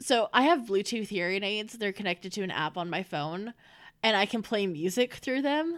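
This woman has a plain, everyday voice at a medium pitch, moving at a moderate pace with lively intonation. The recording is very clean, with a silent background. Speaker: audio drama creator, guest. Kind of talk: casual interview chat.

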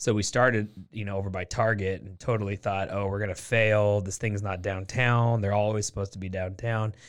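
A man's fairly low, flat monotone with an American accent, fairly quick with hardly any pauses, in a very clean recording with a silent background. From Portland, Oregon. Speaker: real estate investor and business owner. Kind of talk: casual interview.

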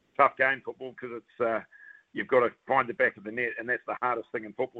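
A man with a New Zealand accent talks very fast at a medium pitch. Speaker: football pundit, former footballer. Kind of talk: sports commentary. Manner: animated.

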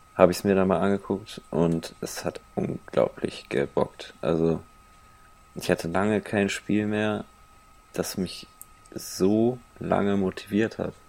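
Very slow delivery with fairly even intonation and long, frequent pauses. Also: man, fairly low pitch for a man. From Cologne area, Germany. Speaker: podcast co-host. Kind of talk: casual chat.

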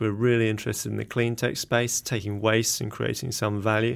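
The speaker has an English accent and a fairly even intonation. The recording is very clean, with a silent background. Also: man. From England. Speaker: company CEO, scientist. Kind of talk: interview. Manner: halting, many filler words.

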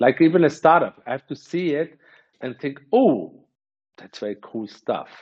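An unremarkable speaking voice belongs to a man. He talks at a moderate pace with ordinary pitch variation. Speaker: venture capitalist. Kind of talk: interview.

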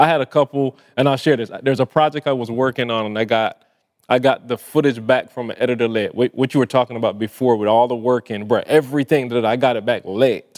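Speaking fast with few pauses, a man with a Barbadian accent keeps a medium pitch and ordinary pitch variation. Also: slightly mellow tone. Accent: Caribbean-tinged English, Barbadian.

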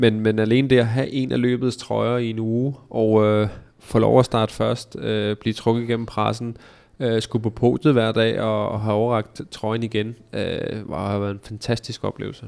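Against a silent background in a very clean recording, a man speaks fairly slowly at a medium pitch with monotone, flat intonation. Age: 30s. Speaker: professional cyclist. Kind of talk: interview. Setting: studio. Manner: hesitant, many filler sounds.

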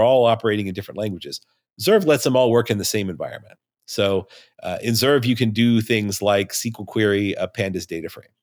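A man's unremarkable speaking voice, an unremarkable speaking voice at medium pitch with an American accent and a fairly quick pace, on a very clean recording with a silent background. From Nevada. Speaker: co-founder of a software startup. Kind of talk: casual interview conversation.

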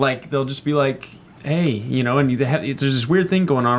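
The speaker has a normal speaking voice and lively intonation. The pace is fairly quick. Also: man. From Texas. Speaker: actor and panel guest. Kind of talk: casual panel chat.

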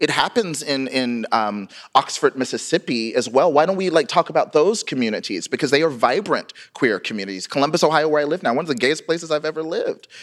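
A man with an American accent talks at a fairly high pitch. His pace is very fast and his intonation lively. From US South. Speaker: writer, memoirist. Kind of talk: live interview. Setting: stage with audience.

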